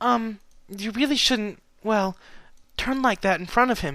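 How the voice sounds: A man does a put-on character voice, high-pitched, bright and sharp in tone, and shaky. He speaks at a fairly slow pace with ordinary pitch variation.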